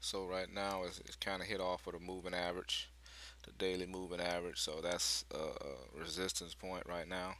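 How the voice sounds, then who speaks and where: A man speaks quietly at a moderate pace in a very deep, low pitch, his tone bright and sharp, with ordinary pitch variation. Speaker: day trader sharing trades. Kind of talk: casual market commentary video. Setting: at home with others in the house. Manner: quiet, keeping voice down; hesitant, many fillers.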